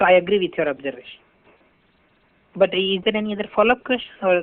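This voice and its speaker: The delivery is very fast. Long pauses come often. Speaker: technical instructor. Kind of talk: lecture.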